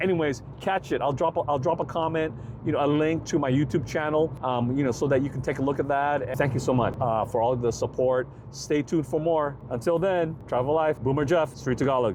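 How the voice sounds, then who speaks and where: In an American accent, the speech runs at a fairly quick pace with ordinary pitch variation and very even loudness. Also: man, fairly high pitch for a man. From San Francisco, US. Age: 60s. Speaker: travel vlogger. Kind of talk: casual vlog talk to camera. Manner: halting, many fillers.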